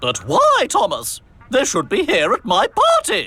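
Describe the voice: A man performs a cartoonish character voice. He keeps a moderate pace.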